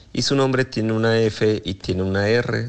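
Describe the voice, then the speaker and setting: At a fairly slow pace, a man with a normal speaking voice talks with fairly even intonation and a fairly low pitch. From Mexico, Morelia. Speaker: listener sending voice message. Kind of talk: testimony.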